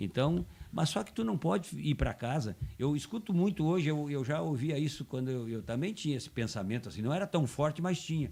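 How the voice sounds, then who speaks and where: In a dark, mellow tone, a man speaks with a fairly high pitch, very wide pitch swings and a somewhat breathy voice. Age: 70s. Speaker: football commentator and former player. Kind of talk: casual chat. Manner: halting, many repetitions.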